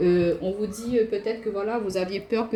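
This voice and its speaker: A woman at a fairly quick pace, medium pitch, and fairly even intonation. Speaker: tarot card reader. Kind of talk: tarot reading. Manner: fast.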